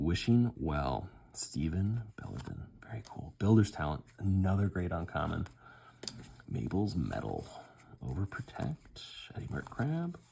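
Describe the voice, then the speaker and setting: A man's very deep, low, somewhat breathy voice at a fairly slow pace, with very wide pitch swings and long, frequent pauses. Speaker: unboxing video host. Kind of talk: casual pack-opening commentary. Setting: at home, child napping nearby. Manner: keeping voice down, quieter than usual.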